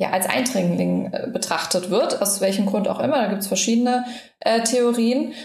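A woman's voice with fairly even intonation, set in audible room echo. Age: 30s. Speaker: health influencer and micronutrient therapy student. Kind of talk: interview, personal health story. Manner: frequent filler sounds (ähm, äh).

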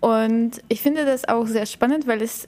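A woman speaks over noticeable background noise. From Bulgaria. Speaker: podcast host, agile coach. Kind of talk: casual chat.

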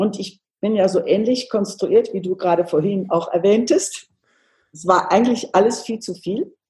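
A woman with a dark, mellow, somewhat breathy tone speaks at a moderate pace in a medium pitch, with ordinary pitch variation and big swings in loudness. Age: 70s. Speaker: homeopath. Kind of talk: interview.

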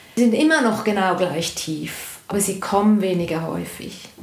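In a room with audible echo and noticeable background noise, a woman speaks at a fairly slow pace with medium pitch and ordinary pitch variation. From Switzerland. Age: 50s. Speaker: interview guest telling personal breakup story. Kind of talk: personal testimony in interview.

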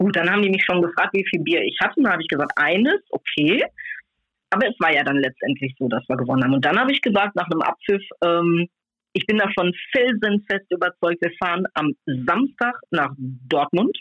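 Speaking at a fairly quick pace, a woman with a fairly low pitch lets her voice swing very widely up and down. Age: 50s. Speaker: football fan magazine co-publisher. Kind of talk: casual chat. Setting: phone call.

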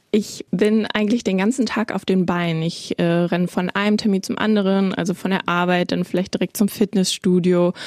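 At a moderate pace and with hardly any pauses, a woman with an ordinary speaking voice talks at a medium pitch with fairly even intonation. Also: dry, close sound with no echo. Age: 20s. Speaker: podcast host, media trainee. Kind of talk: podcast trailer narration.

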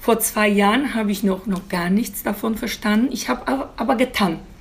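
A woman speaks with a Polish accent at a moderate pace. Her pitch is medium, with ordinary variation. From Poland. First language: Polish (speaking German). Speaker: beautician. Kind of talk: interview. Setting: outdoor terrace.

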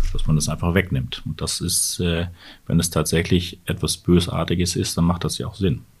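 In a very clean recording with a silent background, a man talks in a very deep, low voice that is somewhat breathy. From northern Germany. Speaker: urologist. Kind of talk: interview.

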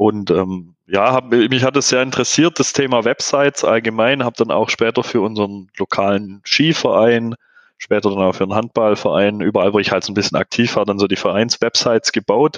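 A plain, everyday voice from a man, medium in pitch with ordinary pitch variation, fairly quick and with hardly any pauses. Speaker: in-house SEO manager. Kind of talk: podcast interview.

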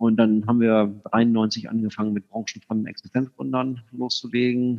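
In a plain, everyday voice, a man talks at a medium pitch and keeps his intonation fairly even. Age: 50s. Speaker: company executive. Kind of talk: interview.

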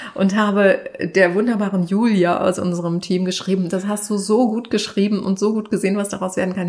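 Against noticeable background noise, a woman with a medium pitch speaks at a fairly quick pace. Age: 50s. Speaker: content creator and TV expert. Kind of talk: casual chat. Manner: animated.

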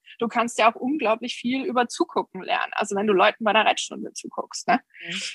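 Her high voice moving with lively intonation, a woman talks at a fairly quick pace. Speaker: horse breeder and riding trainer. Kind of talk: interview. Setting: video call.

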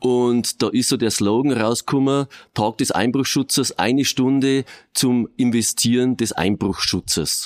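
In an ordinary speaking voice, a man with a medium pitch speaks at a fairly slow pace with fairly even intonation and very even loudness, recorded very cleanly against a silent background with a dry, close sound and no echo. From Regensburg, Bavaria. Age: 50s. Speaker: police officer. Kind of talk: interview.

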